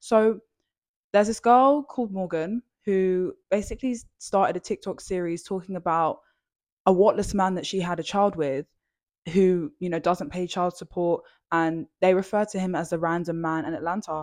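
On a very clean recording with a silent background, a woman speaks with a British accent. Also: medium pitch for a woman, ordinary pitch variation, moderate pace. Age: 20s. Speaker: podcast host. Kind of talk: solo podcast monologue. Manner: casual, rambling.

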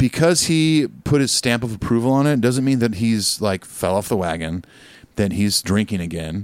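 In an American accent, a man speaks at a moderate pace. His pitch is medium and his intonation lively. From Southern California. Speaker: podcast co-host and musician. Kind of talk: casual chat.

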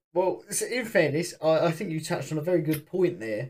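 This man's voice comes across as somewhat breathy. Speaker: football podcast host. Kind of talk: casual football chat and rant.

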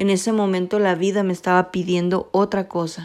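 The speech moves at a fairly slow pace. It is a very clean recording against a silent background. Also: woman. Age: 20s. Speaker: podcast host. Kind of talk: personal monologue.

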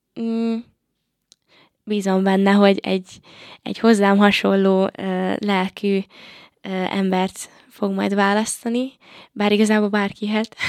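A woman speaks at a medium pitch in a monotone, flat intonation, very slowly. Her long, frequent pauses stand out on a very clean recording with a silent background. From Hungary, Paks area. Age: 20s. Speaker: singer, talent show contestant. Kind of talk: interview. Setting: studio. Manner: halting, many filler sounds.

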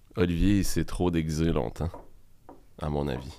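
In a room with audible echo, a man with a very deep, low pitch speaks very slowly with fairly even intonation. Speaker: podcast co-host. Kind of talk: casual chat.

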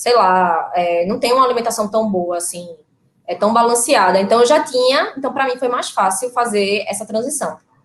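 A woman talks at a moderate pace with ordinary pitch variation, in an unremarkable speaking voice. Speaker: vegan mother. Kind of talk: live stream conversation.

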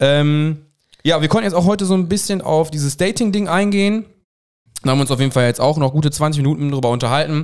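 Pitch moves in an ordinary way. The delivery is very fast. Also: man, fairly high pitch for a man. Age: 30s. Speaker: podcast co-host. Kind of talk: casual chat.

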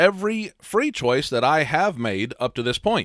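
On a very clean recording with a silent background and a dry, close sound with no echo, a man speaks with vocal fry in a fairly high pitch. His voice makes very wide pitch swings. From US Midwest, small town. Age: 30s. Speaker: podcast host, life coach. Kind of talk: solo philosophy podcast monologue.

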